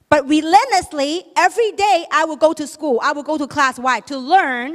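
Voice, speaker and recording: Animated in tone, a woman speaks at a fairly slow pace with ordinary pitch variation. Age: 50s. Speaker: network marketing leader. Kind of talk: motivational speech. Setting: stage with audience.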